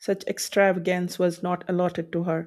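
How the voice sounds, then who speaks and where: In a very clean recording with a silent background, a woman with a fairly low pitch and a dark, mellow tone speaks at a moderate pace. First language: not English. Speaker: audiobook narrator. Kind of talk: reading aloud.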